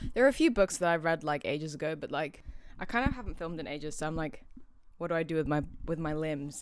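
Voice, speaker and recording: A woman with a very deep, low pitch at a very fast pace. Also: ordinary pitch variation. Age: young. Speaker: artist and book vlogger. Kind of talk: casual talk to camera. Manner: chatty, rambling.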